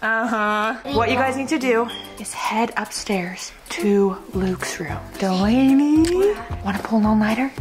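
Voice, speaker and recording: A woman speaks at a fairly slow pace with ordinary pitch variation. Clear music plays in the background. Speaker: family vlogger. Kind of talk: casual vlog chat. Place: home room. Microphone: phone near.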